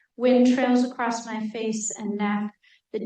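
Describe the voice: The voice is plain reading aloud with fairly even intonation. The background is quiet.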